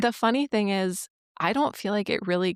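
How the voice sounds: A woman speaks with a Minnesotan accent and vocal fry. The recording is very clean, with a silent background.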